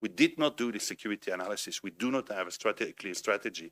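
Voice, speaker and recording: With a Belgian French accent, a man speaks very fast in a bright, sharp tone, the sound dry and close with no echo. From Belgium, French-speaking. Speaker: think tank director, panelist. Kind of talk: panel discussion.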